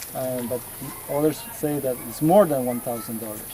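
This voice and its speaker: Noticeable background noise runs under a man speaking with a Spanish accent. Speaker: local church worker and farmer. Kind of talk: guided tour explanation. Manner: halting.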